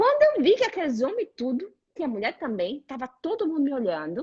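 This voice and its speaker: A woman's high-pitched voice with a Brazilian accent and very wide pitch swings. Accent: Brazilian accent in Italian. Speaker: career coach. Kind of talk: casual chat.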